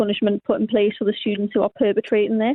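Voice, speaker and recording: A woman is speaking. She has a northern English accent. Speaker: university student. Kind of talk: radio interview.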